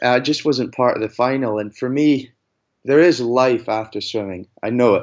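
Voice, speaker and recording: Medium pitch, a moderate pace and ordinary pitch variation from a man. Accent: Scottish. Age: 20s. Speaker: athlete. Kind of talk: interview.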